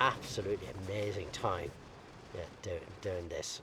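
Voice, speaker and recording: A man with an Irish accent talks at a moderate pace. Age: 60s. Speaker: amateur ultra runner. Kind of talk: casual chat.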